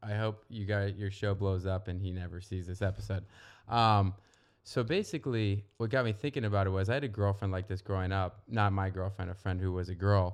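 A man with a plain, everyday voice and an American accent speaks at a fairly quick pace, his fairly low pitch held in fairly even intonation over a quiet background. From Northern Virginia, US. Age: 30s. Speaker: real estate professional. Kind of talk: casual chat.

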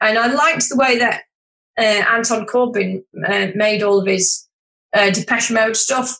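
A woman talks at a moderate pace and a fairly high pitch. Her intonation is fairly even and her loudness very even. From Yorkshire, northern England. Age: 50s. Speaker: wedding photographer. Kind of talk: casual chat.

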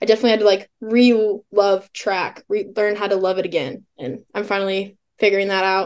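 In an American accent and a plain, everyday voice, a woman talks at a fairly quick pace with medium pitch and fairly even intonation. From Illinois. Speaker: college track and field athlete. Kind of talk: interview.

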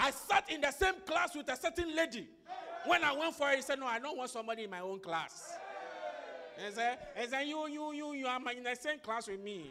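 Over crowd noise in the background, a raised, projected voice speaks at a fairly quick pace with an animated tone and lively intonation. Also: man, extremely high pitch for a man. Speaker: preacher. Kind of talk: sermon with call-and-response prayer. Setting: church with congregation. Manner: loud, commanding, rhythmic, repeating phrases for the crowd to echo; animated, exhortative, urging the congregation to clap and shout.

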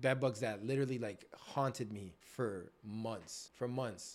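Fairly slow male speech with ordinary pitch variation. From Canada, Greater Toronto Area (Scarborough, Markham), Ethiopian family. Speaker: bartender. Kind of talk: casual interview, life story.

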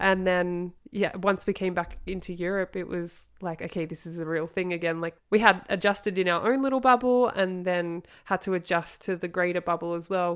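At a moderate pace with hardly any pauses, a woman speaks at a medium pitch and fairly even intonation on a very clean recording with a silent background. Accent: Australian. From Australia, Sydney suburbs. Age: 30s. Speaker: ski season worker and yacht crew. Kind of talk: casual interview.

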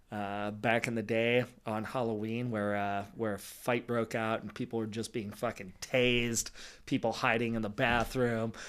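With an American accent, a man speaks at a moderate pace and medium pitch in a monotone, flat way, on a very clean recording with a silent background. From Los Angeles, San Fernando Valley. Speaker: bartender and DJ. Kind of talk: casual chat.

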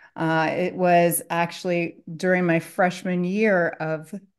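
In a Midwestern American accent, a woman speaks with a fairly low pitch and fairly even intonation over a quiet background. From US Midwest, Columbus, Ohio area. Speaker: structured settlement consultant. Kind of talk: podcast interview.

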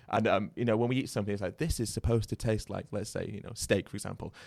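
Very fast and fairly low-pitched, a man speaks with a British accent and ordinary pitch variation. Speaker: podcast host. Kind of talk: casual interview chat.

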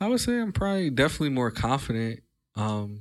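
Speaking at a fairly quick pace with ordinary pitch variation, a man with an American accent has a plain, everyday voice, heard on a very clean recording over a silent background. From US Mid-Atlantic, Delaware. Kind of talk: casual chat.

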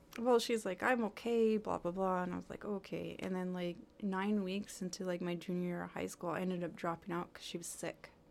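A woman speaks at a fairly quick pace with hardly any pauses, her medium pitch and fairly even intonation giving a plain, everyday voice. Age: 40s. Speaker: dental assistant. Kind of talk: casual chat.

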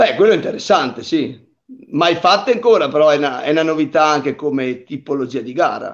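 A man's intonation is lively and his pitch fairly high. He has an ordinary speaking voice. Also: fairly quick pace. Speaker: mountain bike racer. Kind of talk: casual interview on a live stream.

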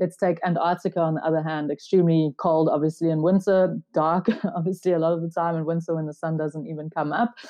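A woman with a fairly low pitch races along at a very fast pace with fairly even intonation and hardly any pauses. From South Africa. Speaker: theoretical physicist and research organization founder. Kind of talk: interview. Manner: hesitant with frequent 'um' fillers.

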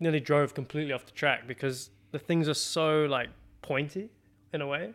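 A man speaks at a fairly quick pace in a New Zealand accent. The recording is very clean, with a silent background. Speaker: professional racing driver. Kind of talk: casual chat. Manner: animated.

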